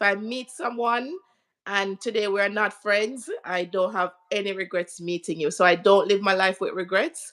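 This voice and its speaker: A woman speaks with a Jamaican accent at a medium pitch. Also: ordinary pitch variation, moderate pace. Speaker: interview guest. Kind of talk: live stream interview.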